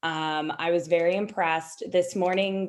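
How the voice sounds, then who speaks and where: A woman with an ordinary speaking voice talks at a fairly low pitch and a moderate pace. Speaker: lawyer serving as mock trial judge. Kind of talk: spoken feedback to competitors. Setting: video call.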